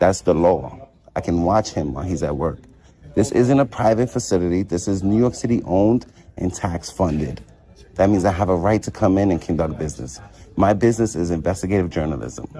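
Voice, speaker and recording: A man with a very deep, low pitch speaks at a fairly quick pace. His tone is calm and confident, his intonation lively. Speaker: first amendment auditor. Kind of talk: heated argument. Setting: public lobby of a nursing facility. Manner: calm, confident.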